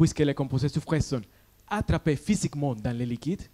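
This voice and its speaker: Dark, mellow tone with ordinary pitch variation and a slight Colombian accent. The sound is dry and close, with no echo. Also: man. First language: Spanish (speaking French). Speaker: PhD student. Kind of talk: science pitch competition talk. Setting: stage with audience.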